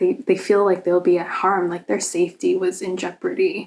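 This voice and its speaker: A woman's medium-pitched voice in a Boston accent at a fairly slow pace. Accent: American, Boston area. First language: Cantonese Chinese. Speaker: vlogger. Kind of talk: casual chat. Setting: hotel room. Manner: hesitant, many fillers.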